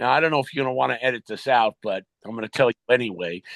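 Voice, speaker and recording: A man with an American accent and a plain, everyday voice at a moderate pace, ordinary pitch variation, dry, close sound with no echo and a quiet background. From New York. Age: 60s. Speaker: retired pro wrestler. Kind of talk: interview storytelling. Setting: podcast interview.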